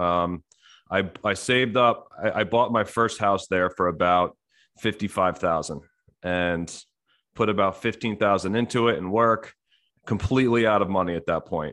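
There is a quiet background as a man with an American accent speaks at a moderate pace. He has an ordinary speaking voice, fairly low in pitch, with ordinary pitch variation. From US, New Jersey. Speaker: real estate investor. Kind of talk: interview.

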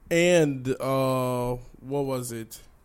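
Over noticeable background noise, a man with an American accent talks with ordinary pitch variation. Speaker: podcast co-host. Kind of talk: casual chat.

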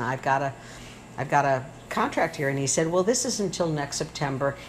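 Over noticeable background noise, a woman speaks with an American accent in a very deep, low voice. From Michigan. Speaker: retired professor and communications coach. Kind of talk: casual interview. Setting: home kitchen.

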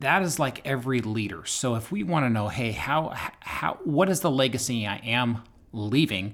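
A man's ordinary speaking voice at medium pitch, moderate pace and lively intonation. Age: 40s. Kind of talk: casual podcast discussion.

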